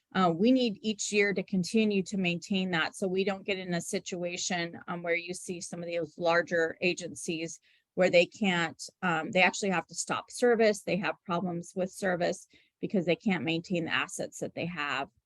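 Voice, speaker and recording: Here a woman with an unremarkable speaking voice talks at a moderate pace, fairly low in pitch and fairly even in intonation, the sound dry and close with no echo over a quiet background. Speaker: transit agency staff presenter. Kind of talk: public meeting presentation. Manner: many filler ums.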